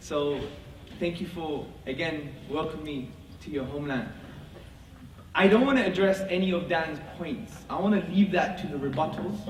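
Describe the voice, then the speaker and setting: Amid noticeable background noise and audible room echo, a man with a high pitch talks at a moderate pace with long, frequent pauses. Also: ordinary pitch variation. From Britain. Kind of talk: formal debate opening statement. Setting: mosque with live audience.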